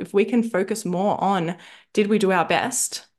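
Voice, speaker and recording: A woman with a normal speaking voice of medium pitch talks with fairly even intonation against a quiet background. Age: 30s. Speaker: nutritionist and mindset coach podcast host. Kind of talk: coaching talk.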